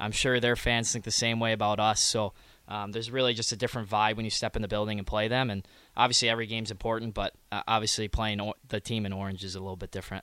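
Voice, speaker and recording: On a very clean recording with a silent background, a man with an American accent speaks very fast at a fairly low pitch, flat and monotone, in a bright, sharp tone. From Michigan. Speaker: junior hockey player. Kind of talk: casual interview.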